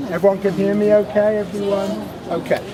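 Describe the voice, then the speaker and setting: Over noticeable background noise and audible room echo, a man speaks loudly with a British accent. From Britain. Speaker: tour guide. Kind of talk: guided tour talk.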